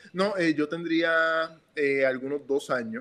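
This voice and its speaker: A man talks at a fairly slow pace. There is noticeable background noise throughout. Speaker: economist. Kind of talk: interview. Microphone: audio problems, phone recording.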